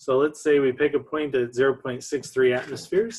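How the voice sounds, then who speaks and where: A man's ordinary speaking voice, fairly quick and fairly even in intonation. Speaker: chemistry lecturer. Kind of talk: online lecture. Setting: recorded online lecture with slides.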